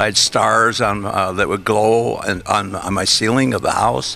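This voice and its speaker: Music in the background under a man's fairly low-pitched voice. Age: 80s+. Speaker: rocket car and film industry veteran. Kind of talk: interview. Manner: halting.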